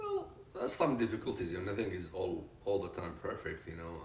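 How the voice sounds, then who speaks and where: A man talks fairly quickly as audible room echo fills the space. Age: 60s. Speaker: retired business consultant. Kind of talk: interview. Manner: hesitant, many fillers.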